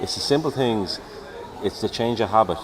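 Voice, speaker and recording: A man speaks with a Dublin accent over noticeable background noise. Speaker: police officer. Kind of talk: live event interview. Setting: outdoor show tent.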